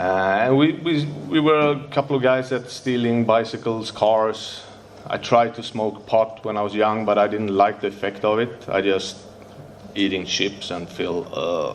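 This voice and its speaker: A man with a Swedish accent talks at a moderate pace in a medium pitch with ordinary variation. Background noise is noticeable. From Sweden, Stockholm. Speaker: recovering addict sharing at a convention. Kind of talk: recovery share speech. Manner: halting, with hesitations.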